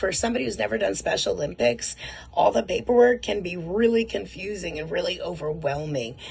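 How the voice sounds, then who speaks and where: A woman speaks fairly quickly in an animated tone with lively intonation. Noticeable background noise sits behind her. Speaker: martial arts program representative. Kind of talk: recorded video message. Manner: fast.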